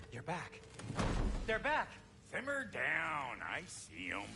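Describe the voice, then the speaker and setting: Over sound effects and clear background noise, a gruff, put-on character voice speaks at a fairly slow pace. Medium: video game. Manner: gruff, brash, slangy.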